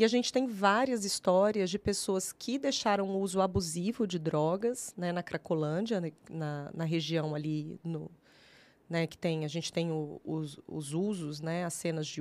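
In a very clean recording with a silent background, a woman with a fairly low pitch speaks at a fairly slow pace with ordinary pitch variation, in an ordinary speaking voice. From Brazil, Triângulo Mineiro (Minas Gerais). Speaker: social worker. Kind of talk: interview conversation. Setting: studio, live stream.

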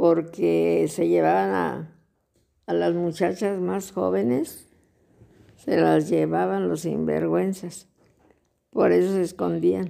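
A woman speaks at a very slow pace. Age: 70s. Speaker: grandmother interviewed by grandson. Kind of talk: casual interview.

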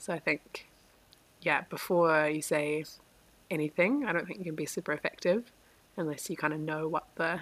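A woman speaks at a moderate pace with a very deep, low pitch and ordinary pitch variation. Her speech has long, frequent pauses. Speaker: podcast panelist. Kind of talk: casual chat.

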